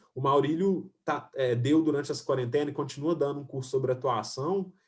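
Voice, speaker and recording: A man's fairly high-pitched, somewhat breathy voice with a Minas Gerais accent. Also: ordinary pitch variation, fairly quick pace. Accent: Minas Gerais Brazilian Portuguese. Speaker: filmmaker and screenwriter. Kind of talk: online panel discussion. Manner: halting, many fillers and restarts.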